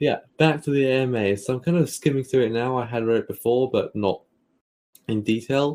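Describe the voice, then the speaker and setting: A man talks fairly quickly in a Cockney accent. His pitch is medium, with ordinary variation. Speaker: podcast co-host. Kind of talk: casual chat.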